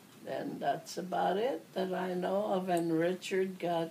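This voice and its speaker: At a very slow pace with fairly even intonation, the voice comes through with audible room echo and noticeable background noise. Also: woman. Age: 80s+. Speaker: elderly relative recalling family history. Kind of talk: oral history interview. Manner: halting.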